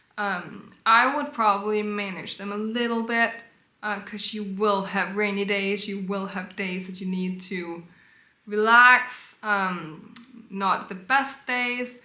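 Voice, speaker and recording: A woman with a Danish accent speaks at a fairly slow pace in a bright, sharp tone. Her intonation is fairly even, and the room echo is audible. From Denmark. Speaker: vlogger. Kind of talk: casual advice talk.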